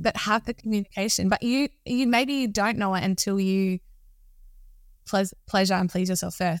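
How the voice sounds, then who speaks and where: A woman speaks at a medium pitch and moderate pace in an ordinary speaking voice, with ordinary pitch variation and very even loudness. The recording is very clean with a silent background, and the sound is dry and close with no echo. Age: 30s. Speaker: entrepreneur and self-love coach. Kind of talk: podcast interview.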